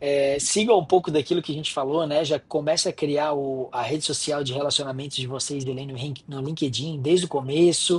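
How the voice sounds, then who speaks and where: A man with a strong Florianópolis accent speaks at a moderate pace in a fairly high, somewhat breathy voice with fairly even intonation. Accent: strong Florianópolis manezinho. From Florianópolis, Santa Catarina. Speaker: software entrepreneur and lecturer. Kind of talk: guest lecture remarks.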